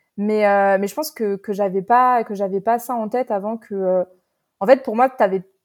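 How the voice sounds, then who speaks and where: The dry, close sound has no echo as a woman talks at a fairly high pitch with fairly even intonation. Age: 20s. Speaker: novelist. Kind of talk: interview. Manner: halting, many repetitions and fillers.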